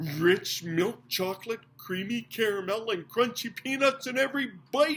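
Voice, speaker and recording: This put-on character voice has a fairly high pitch. It moves at a moderate pace with hardly any pauses. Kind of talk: advertising pitch.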